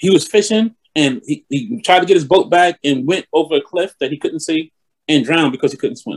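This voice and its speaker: A man with a New York accent talks at a fairly quick pace and a high pitch, his intonation lively and the sound dry and close with no echo. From New York (East Elmhurst, Queens). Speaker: bishop. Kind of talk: interview.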